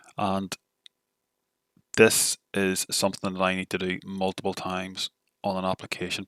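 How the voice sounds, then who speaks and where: The man's very deep, low voice comes through with a dry, close sound and no echo. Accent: Northern Irish. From Northern Ireland. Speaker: tech tutorial creator. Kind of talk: software tutorial. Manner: not very animated.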